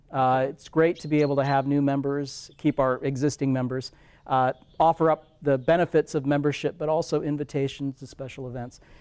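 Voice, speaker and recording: Recorded with a dry, close sound and no echo, a man with an American accent speaks at a moderate pace, his fairly high pitch carrying a dark, mellow tone. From Iowa. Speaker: historic preservation director. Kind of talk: casual interview.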